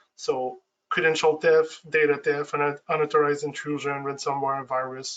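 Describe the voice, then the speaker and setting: This man talks at a fairly high pitch in a monotone, flat intonation. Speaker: IT security expert. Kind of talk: webinar presentation. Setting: online webinar. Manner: fast, with frequent false starts.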